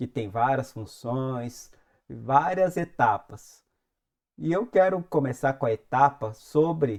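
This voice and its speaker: Speaking very slowly, the man uses a fairly high pitch and lively intonation. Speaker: music industry youtuber. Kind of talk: tutorial.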